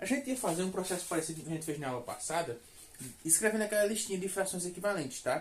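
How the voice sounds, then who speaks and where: Lively intonation and a very fast pace come through against an audible room echo. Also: man, high pitch for a man. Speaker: math teacher. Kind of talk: lecture.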